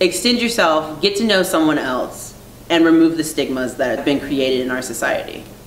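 A woman with an American accent speaks at a very deep, low pitch with lively intonation. Light background noise and audible room echo are present. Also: moderate pace. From Virginia, US. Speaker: artist. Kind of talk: interview monologue. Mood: earnest, reflective.

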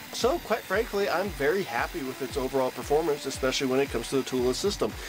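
Music plays in the background as a man talks with lively intonation. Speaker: tool reviewer. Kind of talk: product review voice-over.

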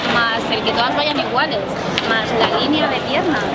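A woman talks over loud background noise. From Barcelona, Spain. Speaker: retired Olympic gymnast. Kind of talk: casual interview chat. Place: street.

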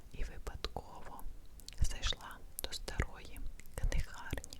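A woman whispers in a gentle tone at a very slow pace, with noticeable background noise behind her. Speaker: ASMR creator. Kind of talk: bedtime story reading. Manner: whispered, gentle, slow.

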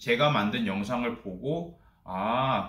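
Audible room echo surrounds a man whose pitch swings very widely, with a quiet background behind him. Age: 30s. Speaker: office worker. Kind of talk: casual talk to camera. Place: home room.

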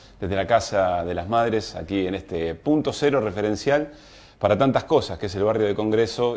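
A man speaks at a moderate pace. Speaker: program host. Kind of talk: show opening monologue. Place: studio. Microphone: lapel.

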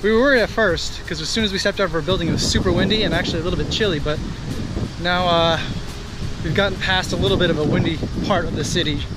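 Talking at a very fast pace with ordinary pitch variation, a man comes through a dry sound with no echo despite loud background noise. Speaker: vlogger father. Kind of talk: casual vlog chat. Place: street. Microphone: phone near.

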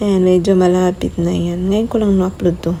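Noticeable background noise under a woman's soft-spoken voice. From Leyte, Philippines. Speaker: vlogger. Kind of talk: casual video voiceover.

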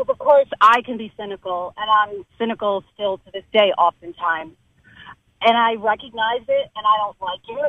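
An unremarkable speaking voice belongs to a woman with an American accent who talks at a moderate pace and a fairly high pitch, with ordinary pitch variation and big swings in loudness. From New Jersey. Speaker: journalist and cancer survivor. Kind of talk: interview.

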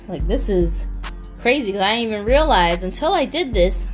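Lively intonation over music in the background. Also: woman. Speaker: doll collector vlogger. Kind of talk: casual vlog chat. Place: home room. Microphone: phone near.

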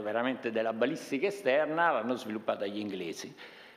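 Vocal fry and very wide pitch swings in a man's speech. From Italy. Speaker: army general; panelist. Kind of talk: conference talk. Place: meeting room. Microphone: podium.

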